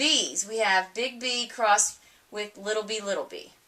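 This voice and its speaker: Against noticeable background noise, a woman talks at a fairly slow pace in a fairly high pitch with ordinary pitch variation. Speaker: teacher. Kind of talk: recorded lecture.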